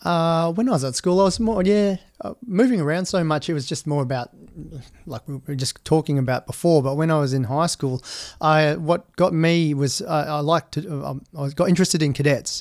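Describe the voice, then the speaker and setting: Against a silent background in a very clean recording, a man with a fairly high pitch and ordinary pitch variation speaks at a fairly quick pace. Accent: Australian. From Western Australia, outback mining towns and Perth. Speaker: army veteran. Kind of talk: interview.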